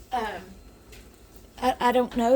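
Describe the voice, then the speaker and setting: Quiet and high-pitched, a woman with a Southern US accent speaks at a fairly slow pace over noticeable background noise. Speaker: home cooking vlogger. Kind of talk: cooking tutorial. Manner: halting.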